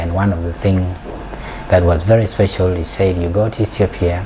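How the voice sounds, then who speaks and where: In a South Sudanese accent, the speaker keeps a moderate pace and fairly even intonation against noticeable background noise. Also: man. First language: Dinka. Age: 40s. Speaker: peace and development scholar. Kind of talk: interview. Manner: halting.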